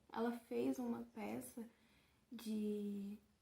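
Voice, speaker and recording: A woman's somewhat breathy, fairly high voice carries a dark, mellow tone. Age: 20s. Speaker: journalism student and audiovisual artist. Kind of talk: casual talk to camera about her art.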